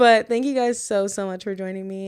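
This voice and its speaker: In a very clean recording with a silent background, a woman of medium pitch talks at a fairly quick pace with fairly even intonation. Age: 20s. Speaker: true crime podcast host. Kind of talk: podcast monologue and case narration.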